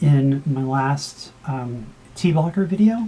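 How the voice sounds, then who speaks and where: A woman talks with lively intonation. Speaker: vlogger. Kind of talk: casual vlog update. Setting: home video recording. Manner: hesitant, many fillers.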